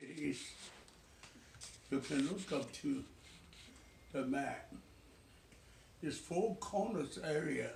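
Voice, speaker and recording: A man speaks very slowly at a fairly high pitch with lively intonation, leaving long, frequent pauses. His voice carries audible room echo. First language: Chinese. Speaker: retired pastor. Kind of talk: family interview, life story. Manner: halting.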